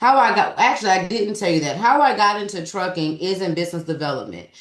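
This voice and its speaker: This woman speaks at a medium pitch with a Southern US accent. Her intonation is lively. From US South. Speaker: business developer and trucking recruiter. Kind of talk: webinar presentation. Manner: fast.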